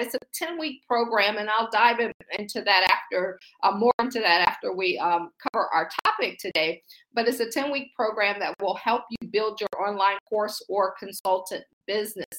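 A woman with an American accent speaks at a moderate pace in a fairly high, bright, sharp, animated voice with ordinary pitch variation, the sound dry and close with no echo. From US Midwest (Akron, Ohio). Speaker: faith-based business coach. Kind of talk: motivational livestream talk. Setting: livestream with chat.

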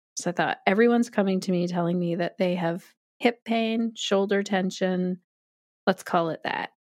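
On a very clean recording with a silent background, a woman with a Canadian accent speaks in an ordinary speaking voice at a medium pitch, moderately paced and with fairly even intonation. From Canada. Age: 40s. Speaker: yoga teacher. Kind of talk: interview conversation.

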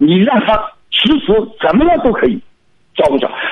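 A man talks with lively intonation. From Shanghai. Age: 50s. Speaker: caller. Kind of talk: radio call-in. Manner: halting.

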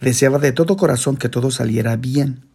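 He is a man with an ordinary speaking voice. His pitch is medium and his intonation fairly even. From Guatemala. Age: 40s. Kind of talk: reading aloud from his own memoir.

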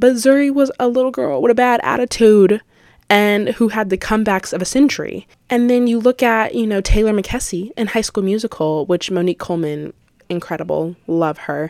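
At a fairly quick pace, a woman with a fairly high pitch talks in a plain, everyday voice. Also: lively intonation. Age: young (18). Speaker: podcast host, college student. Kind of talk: casual solo podcast monologue.

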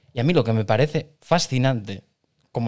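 A normal speaking voice from a man, medium-pitched with lively intonation, in a very clean recording with a silent background. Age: 40s. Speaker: podcast co-host. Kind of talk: casual chat.

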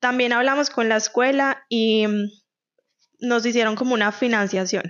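A woman speaks at a fairly quick pace with a Colombian Paisa accent. Her pitch is fairly high and her intonation fairly even. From Colombia, Medellín. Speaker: podcast co-host. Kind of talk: casual chat.

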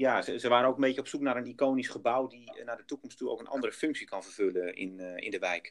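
Barely stopping for breath, a man races along at a very fast pace with hardly any pauses. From Netherlands, Groningen. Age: 40s. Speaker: project developer. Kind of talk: business interview. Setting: outdoors on site.

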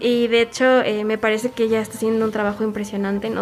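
With music in the background, a woman with a Mexican accent talks at a fairly quick pace in a fairly high pitch, using monotone, flat intonation. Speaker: guest from the music scene. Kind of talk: casual chat.

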